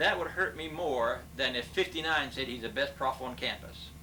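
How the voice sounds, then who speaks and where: Fairly quick speech from a man with an American accent, with audible room echo and noticeable background noise. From Kansas. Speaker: retired business professor. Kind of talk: interview. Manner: fast.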